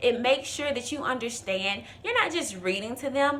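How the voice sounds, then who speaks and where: Amid noticeable background noise and audible room echo, a woman talks at a moderate pace with very wide pitch swings. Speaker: presentation coach. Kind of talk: tutorial.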